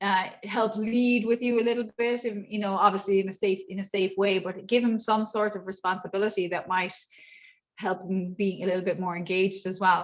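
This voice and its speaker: A woman with an Irish accent speaks at a fairly quick pace, her medium-pitched voice flat and monotone. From Ireland. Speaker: martial arts instructor and inclusion trainer. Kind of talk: workshop Q&A.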